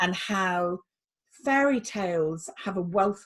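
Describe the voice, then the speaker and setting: With a fairly low pitch, a woman speaks in a plain, everyday voice. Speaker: psychotherapist. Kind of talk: interviewer questions.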